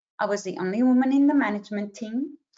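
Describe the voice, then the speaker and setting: Pitch rises and falls in an ordinary way as this voice speaks with a non-native accent. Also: woman. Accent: noticeable non-native. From Israel, then Australia from age 12. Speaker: career coach. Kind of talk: webinar presentation. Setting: video call webinar.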